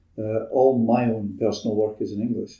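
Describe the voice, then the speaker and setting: In a Scottish accent, a man speaks at a moderate pace. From Scotland, Dundee. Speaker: retired architect and writer. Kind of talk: casual interview chat.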